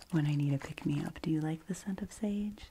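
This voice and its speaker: A soft-spoken woman talks with fairly even intonation against noticeable background noise. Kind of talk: ASMR roleplay. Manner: whispered in parts.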